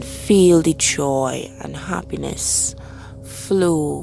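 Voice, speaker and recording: Music plays in the background. A woman speaks at a very slow pace in a calm, soothing tone. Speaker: life purpose coach, meditation guide. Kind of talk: guided meditation. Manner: calm, slow, soothing.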